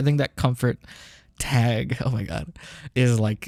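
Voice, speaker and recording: A man with a medium pitch speaks at a fairly slow pace with fairly even intonation. The sound is dry and close with no echo, and music plays in the background. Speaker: ASMR roleplay voice actor. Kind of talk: casual talk to listeners, Q&A. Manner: nervous, hesitant.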